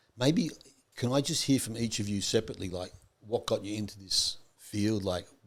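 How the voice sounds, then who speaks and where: A man talks at a fairly quick pace in an unremarkable speaking voice. His medium pitch has ordinary variation. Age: 60s. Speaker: podcast host. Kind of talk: casual interview.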